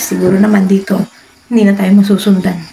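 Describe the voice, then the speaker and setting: Someone talks at a fairly quick clip over noticeable background noise. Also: woman. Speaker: comedy vlogger. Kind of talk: comedy skit vlog. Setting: indoors at home, hiding under a table. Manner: lowered voice.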